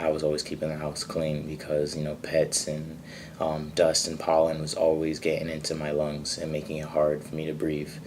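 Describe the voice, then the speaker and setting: A man with an American accent speaks in a very deep, low pitch with monotone, flat intonation. He leaves hardly any pauses. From Springfield, Massachusetts. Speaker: spoken word artist. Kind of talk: interview answer.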